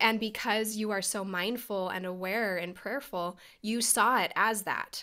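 Her bright, sharp tone sits at a medium pitch for a woman, with fairly even intonation. She speaks at a fairly slow pace against a quiet background. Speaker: podcast host. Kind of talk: interview; interview conversation. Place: home room. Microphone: webcam.

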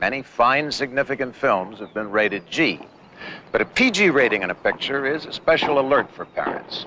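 Dry and echo-free with light background noise, a man speaks at a moderate pace. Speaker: public service announcer. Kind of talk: public service announcement. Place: stadium. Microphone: old recording.

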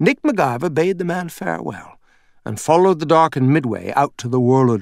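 A man speaks at a fairly quick pace with very wide pitch swings, on a very clean recording with a silent background. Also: fairly high pitch for a man. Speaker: audiobook narrator. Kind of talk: audiobook narration. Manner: expressive storytelling, shifting into character voices for dialogue.

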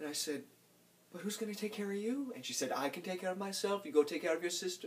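A man's very fast, high-pitched voice, animated and nervous in tone, with lively intonation. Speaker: actor performing a monologue. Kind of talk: theatrical monologue performance, in character, confessional and darkly comic. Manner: animated, voicing his mother's and his own lines in quoted dialogue. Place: home room.

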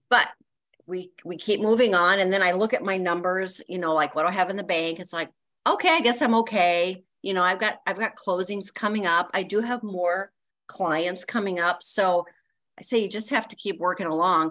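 Over a quiet background, a woman's bright, sharp tone moves at a moderate pace with ordinary pitch variation. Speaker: network member. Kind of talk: casual chat. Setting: video call. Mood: candid, slightly resigned. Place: home room. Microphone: video call.

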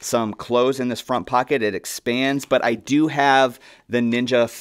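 Against a quiet background, a man talks in a monotone with flat intonation. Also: moderate pace. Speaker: gear reviewer. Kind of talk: product walkthrough. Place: studio.

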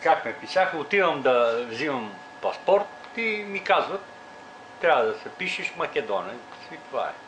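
Over light background noise, a man with a high pitch speaks at a moderate pace, his pitch swinging very widely. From Pirin region, Bulgaria. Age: 60s. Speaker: interviewee. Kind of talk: interview answer. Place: home room. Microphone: camera far.

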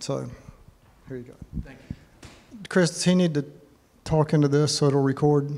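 Speaking at a moderate pace with a dark, mellow tone, this voice has long, frequent pauses, big swings in loudness and fairly even intonation. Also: man, fairly high pitch for a man. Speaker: men's group host introducing speaker. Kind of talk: casual introduction. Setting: church meeting room with audience.

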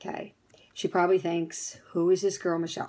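Talking at a fairly quick pace, a woman with an American accent uses a medium pitch. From New Jersey. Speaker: fitness studio owner. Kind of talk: testimonial. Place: home room. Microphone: phone near.

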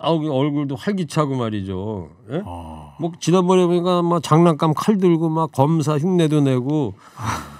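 A man with a fairly high pitch and lively intonation, speaking at a fairly slow pace, in a dry sound with no echo over a quiet background. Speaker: radio host. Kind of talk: radio current affairs chat. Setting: studio. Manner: animated. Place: studio. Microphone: studio mic.

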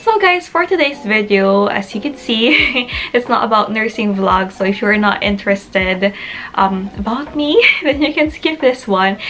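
Over light background noise, a woman with a fairly high voice speaks at a moderate pace with lively intonation. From Philippines. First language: Tagalog. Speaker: nurse and vlogger. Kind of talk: casual vlog monologue to camera. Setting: video recorded for YouTube, in the UK. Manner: animated, chatty, laughs often. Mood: warm, smiling, reflective. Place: home room. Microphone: phone near.

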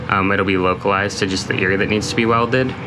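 Music plays in the background behind a monotone, flat delivery. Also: man. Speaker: boat owner vlogger. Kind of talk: casual vlog chat. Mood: thoughtful, a bit worried. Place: boat. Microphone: phone near.

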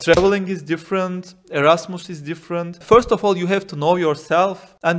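The speaker talks at a fairly quick pace with a Turkish accent. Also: man. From Turkey. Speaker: exchange student; interview guest. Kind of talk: interview; interview answer. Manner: halting. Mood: calm, relaxed. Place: home room. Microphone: handheld.

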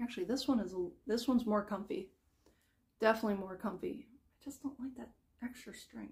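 Pitched at a medium level, a woman speaks with a slightly mellow tone, a slightly husky edge and vocal fry. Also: ordinary pitch variation, fairly quick pace.

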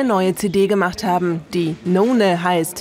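Noticeable background noise accompanies a woman speaking at a medium pitch and a fairly slow pace. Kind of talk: TV documentary narration.

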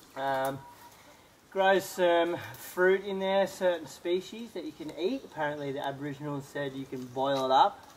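Moderate pace over light background noise. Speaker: travel vlogger. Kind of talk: casual vlog chat. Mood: joking, relaxed. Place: waterside.

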